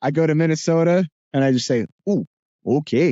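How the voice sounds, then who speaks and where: A man with a New Jersey accent. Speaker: voice actor. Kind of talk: podcast interview. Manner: hesitant, many fillers.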